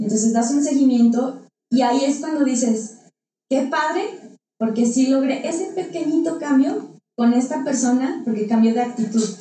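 Audible room echo surrounds a woman speaking at a moderate pace. Her pitch is high and her tone dark and mellow. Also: ordinary pitch variation. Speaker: psychologist and business consultant. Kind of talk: interview. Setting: studio.

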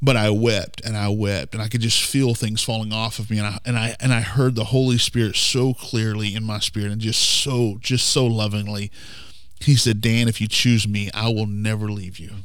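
In an audible room echo, a man with an American accent talks at a moderate pace with monotone, flat intonation. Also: fairly low pitch for a man. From rural southern Oklahoma. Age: 40s. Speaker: pastor. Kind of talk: casual interview with personal testimony.

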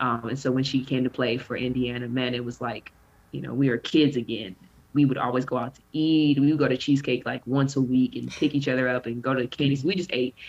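Speaking at a very fast pace, a woman with a Southern US accent uses a very deep, low pitch and fairly even intonation. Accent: Southern-tinged American. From Bakersfield, California. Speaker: pro basketball player and podcaster. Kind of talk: casual interview chat.

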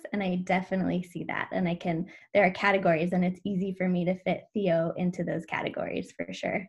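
A woman's very fast, somewhat breathy speech with an American accent, a medium pitch and monotone, flat intonation. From US Pacific Northwest (Washington). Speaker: educator and parent coach. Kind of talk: interview conversation.

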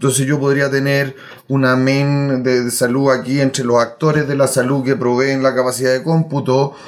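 Speaking at a moderate pace, a man with a medium-pitched voice keeps a monotone, flat intonation and very even loudness. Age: 40s. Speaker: software solutions architect. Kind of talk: casual interview. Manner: halting.

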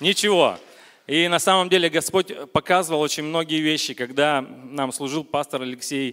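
The tone is bright and sharp, the pace moderate, and the pitch variation ordinary. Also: man, fairly high pitch for a man. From Vologda region, Russia. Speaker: churchgoer giving testimony. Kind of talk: testimony. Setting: church service with congregation.

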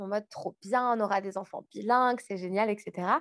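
Over a quiet background, a woman with a plain, everyday voice talks at a moderate pace, her fairly high pitch held in fairly even intonation. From France. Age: 30s. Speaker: podcaster. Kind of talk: casual interview.

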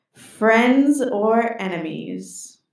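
A woman in a put-on character voice, with a slight echo. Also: fairly high pitch for a woman, ordinary pitch variation. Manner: announcer voice.

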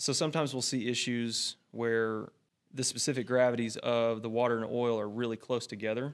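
A man's medium-pitched, monotone, flat delivery at a fairly quick pace, on a very clean recording with a silent background. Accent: Texan. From North Central Texas. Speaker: oil and gas equipment account manager. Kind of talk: technical interview.

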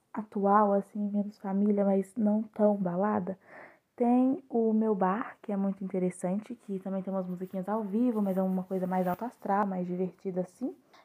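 This woman has a medium-pitched voice with a dark, mellow tone. She speaks at a moderate pace with ordinary pitch variation. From Belo Horizonte, Brazil. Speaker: podcast guest. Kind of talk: casual chat.

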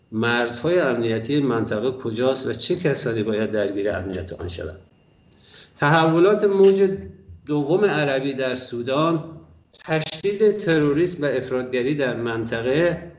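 Over audible room echo, a man of medium pitch speaks at a fairly slow pace, his pitch swinging very widely. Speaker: podcast moderator on strategic affairs. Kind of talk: panel discussion moderation and prepared introduction.

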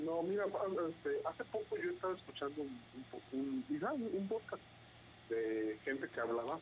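A man speaks at a high pitch, his voice making very wide pitch swings. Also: fairly slow pace. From Mexico, Veracruz (Xalapa). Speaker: aspiring podcaster. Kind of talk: casual chat. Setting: call.

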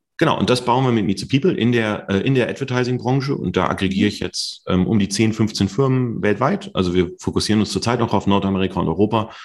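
A man's fairly low voice at a very fast pace, with ordinary pitch variation and hardly any pauses. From Ruhr area, Germany (Mülheim/Duisburg). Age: 40s. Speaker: tech entrepreneur and CEO. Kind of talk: interview. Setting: video call.

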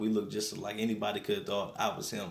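With an American accent, a man speaks at a fairly low pitch amid audible room echo. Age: 20s. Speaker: evangelist and nonprofit ministry founder. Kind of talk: radio interview testimony. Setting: radio studio.

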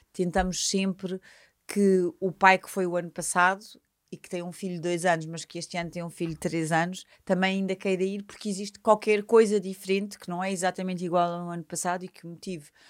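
A woman at medium pitch in a monotone, flat delivery at a fairly quick pace, in a very clean recording with a silent background. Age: 50s. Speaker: events company executive. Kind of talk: interview. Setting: studio.

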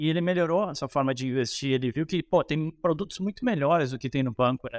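In a very clean recording with a silent background, the sound is dry and close with no echo. A man with a normal speaking voice speaks at a fairly quick pace in a fairly high pitch, with ordinary pitch variation. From Rio Grande do Sul, Brazil (Cruz Alta). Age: 30s. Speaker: economist and investment strategist. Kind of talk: casual interview on investing.

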